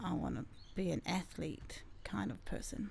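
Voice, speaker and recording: A woman speaks with a New Zealand accent. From New Zealand, Porirua (Wellington). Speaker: gym owner and entrepreneur. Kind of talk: podcast interview.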